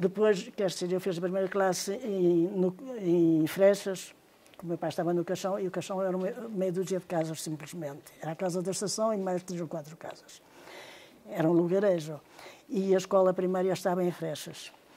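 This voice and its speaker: A woman's medium-pitched voice, dark and mellow in tone, with fairly even intonation and a moderate pace. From northern Portugal, Trás-os-Montes (Carrazeda de Anciães). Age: 70s. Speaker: interviewee recounting railway family memories. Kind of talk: oral history interview.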